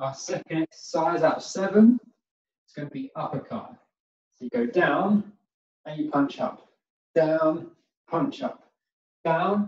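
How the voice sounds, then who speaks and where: With audible room echo around him, a man talks at a fairly slow pace. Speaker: exercise instructor. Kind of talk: exercise class instruction. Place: home room. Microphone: camera far.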